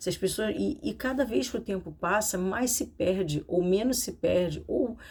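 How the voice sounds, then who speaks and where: A soft-spoken woman with a medium pitch talks at a moderate pace. Her intonation is lively, with vocal fry. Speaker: psychoanalyst and therapist. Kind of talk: casual educational talk to camera. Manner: speaking softly.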